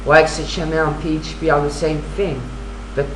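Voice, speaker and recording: A woman speaks in a French accent. Noticeable background noise and audible room echo surround her voice. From France. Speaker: vlogger with Asperger syndrome. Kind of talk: casual video self-introduction. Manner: halting, many fillers and restarts.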